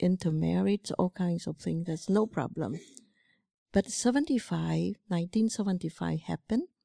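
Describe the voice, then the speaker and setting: A woman with a Cambodian accent speaks at a medium pitch with ordinary pitch variation. Her tone is dark and mellow, and the sound is dry and close with no echo. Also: very clean recording, silent background. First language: Khmer. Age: 70s. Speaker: Buddhist monastic teacher. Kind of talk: dharma talk. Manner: halting.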